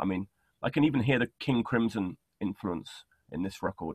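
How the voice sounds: A slightly husky edge, a dry, close sound with no echo, and a moderate pace. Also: man.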